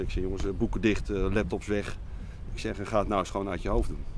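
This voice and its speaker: A man talks at a very fast pace with lively intonation. The sound is dry with no echo, over noticeable background noise. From Netherlands, Lelystad; Netherlands. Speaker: driving instructor trainer. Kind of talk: interview. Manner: halting.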